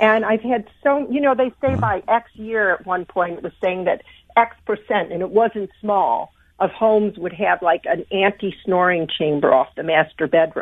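A woman's plain, everyday voice at a medium pitch and moderate pace, with lively intonation. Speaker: sleep expert and corporate speaker. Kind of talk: interview answering questions.

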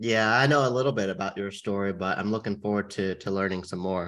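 Against a quiet background, a man speaks with an American accent in a fairly low pitch. His tone is bright and sharp, with ordinary pitch variation. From California. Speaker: podcast co-host, interviewer. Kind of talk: interview.

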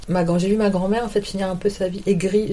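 A woman speaks at a very fast pace in a medium pitch. There is noticeable background noise. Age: 50s. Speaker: model and agent. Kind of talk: interview. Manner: hesitant.

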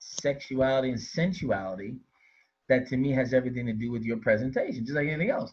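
A man's somewhat breathy, medium-pitched voice at a fairly quick pace, with fairly even intonation. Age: 50s. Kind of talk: casual interview chat.

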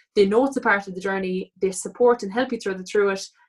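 A woman with a Cork accent at a fairly quick pace. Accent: Cork Irish. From Cork, Ireland. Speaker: online fitness and lifestyle coach. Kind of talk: casual interview chat.

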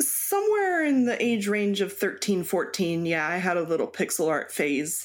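In a normal speaking voice with an American accent, a woman of medium pitch talks at a moderate pace with lively intonation, very even loudness and hardly any pauses. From US East Coast (Baltimore, Maryland) with time in Mexico. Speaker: cross stitch designer. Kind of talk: interview.

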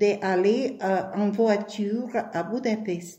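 A woman's fairly high voice with audible room echo and noticeable background noise. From Ukraine, Kyiv. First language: Ukrainian or Russian (speaking French). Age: 70s. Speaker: war refugee. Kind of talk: testimony. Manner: halting.

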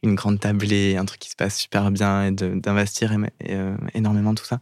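This man talks at a fairly quick pace in a fairly low pitch. His intonation is monotone and flat. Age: 20s. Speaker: content creator. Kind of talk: personal testimony in interview. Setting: studio.

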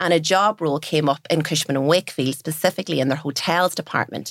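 The voice moves at a very fast pace in a Donegal accent. The sound is dry and close, with no echo. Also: woman. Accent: Donegal Irish. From Ireland, Donegal. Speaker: business owner. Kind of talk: interview.

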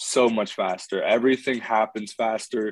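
A man's medium-pitched voice at a fairly slow pace. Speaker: college football player. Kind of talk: interview. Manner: halting, many fillers.

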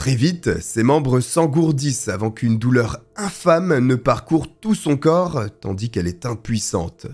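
In a solemn, dramatic tone, a man speaks at a fairly slow pace with medium pitch, vocal fry and very wide pitch swings. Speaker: true crime storyteller. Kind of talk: true-crime narration. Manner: solemn, measured storytelling with dramatic, grave emphasis on the horrors; steady, fluent, scripted-sounding delivery.

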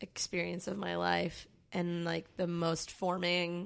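A woman with an American accent speaks at a medium pitch with fairly even intonation. The recording is very clean, with a silent background. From Maryland, Baltimore. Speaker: musician. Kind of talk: casual chat.

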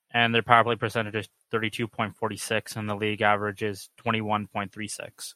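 In a dry, close recording with no echo, a man speaks at a fairly low pitch with a bright, sharp tone and flat, monotone intonation. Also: moderate pace. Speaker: student voicemail caller. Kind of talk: voicemail question.

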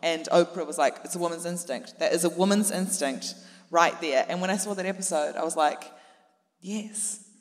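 A woman with a New Zealand accent, fairly low in pitch, at a moderate pace and with fairly even intonation. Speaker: comedian. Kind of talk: live comedy podcast panel chat. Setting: stage with audience.

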